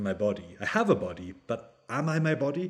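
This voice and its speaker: A man speaks with a Scottish accent in a very clean recording with a silent background. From Scottish Highlands. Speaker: theology lecturer. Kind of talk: interview.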